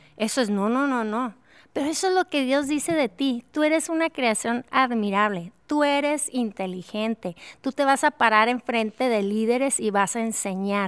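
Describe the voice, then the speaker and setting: A woman speaks at a moderate pace with high pitch and lively intonation. The recording is very clean with a silent background and a dry, close sound with no echo. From Mexico, Durango. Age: 50s. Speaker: worship leader and author. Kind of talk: interview conversation.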